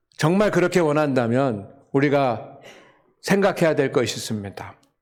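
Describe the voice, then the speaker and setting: Audible room echo surrounds a man's fairly high voice. He talks at a fairly slow pace. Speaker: pastor. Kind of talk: sermon. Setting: church with congregation.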